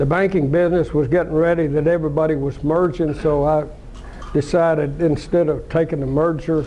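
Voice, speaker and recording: A man with an Arkansas accent at a fairly high pitch and moderate pace. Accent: Southern US (Arkansas). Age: 80s+. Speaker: businessman, car dealer. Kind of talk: talk to an audience, personal story. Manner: halting, many repeats.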